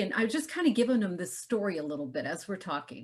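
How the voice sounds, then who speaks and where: This woman's somewhat breathy voice sits fairly high and moves through very wide pitch swings. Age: 60s. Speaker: health entrepreneur. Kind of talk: interview.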